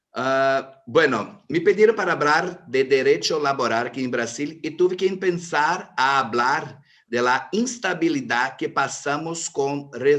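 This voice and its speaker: Lively in intonation, a man with a Brazilian accent speaks at a very slow pace. His pitch is fairly high. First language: Portuguese (speaking Spanish). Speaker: lawyer. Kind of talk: panel talk. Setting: video call.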